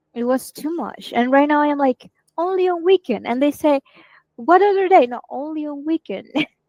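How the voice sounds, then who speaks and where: This woman has a Spanish accent, a high pitch, and a dark, mellow tone with lively intonation. She speaks at a moderate pace with big swings in loudness, and the sound is dry and close with no echo. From Venezuela. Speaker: marketing team member. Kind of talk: casual chat.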